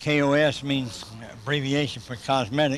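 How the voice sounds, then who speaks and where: A man at a medium pitch speaks with a Southern US accent. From US South, South Carolina. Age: 60s. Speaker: motivational businessman. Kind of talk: interview. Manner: animated.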